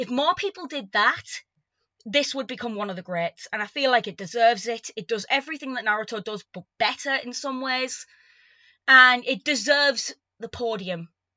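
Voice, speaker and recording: Speaking at a moderate pace, a woman uses lively intonation at a high pitch, with big swings in loudness. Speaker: artist vlogger. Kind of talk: review vlog. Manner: stammers often; casual, unscripted.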